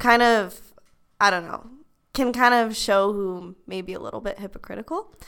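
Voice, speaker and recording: A woman speaks at a moderate pace with medium pitch and ordinary pitch variation, in an unremarkable speaking voice. Her loudness swings widely. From Utah, US. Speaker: university student. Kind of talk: casual chat. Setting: library study room.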